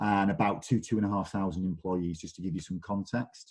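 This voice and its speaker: A dark, mellow voice in a Mancunian accent at a moderate pace against a quiet background. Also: man. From northern England, Manchester. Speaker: digital marketing director. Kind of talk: webinar presentation.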